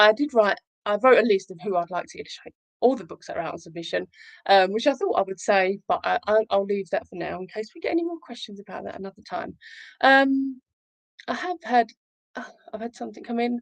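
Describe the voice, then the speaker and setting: A woman speaks very fast at a fairly high pitch, with very wide pitch swings and big swings in loudness. The sound is dry and close, with no echo. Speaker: children's author and livestream host. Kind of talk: casual livestream chat. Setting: livestream.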